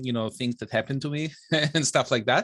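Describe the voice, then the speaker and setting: A man with an Israeli accent and ordinary pitch variation. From Israel, Bnei Brak. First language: Hebrew. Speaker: software engineer and author. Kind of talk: interview. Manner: hesitant, many fillers.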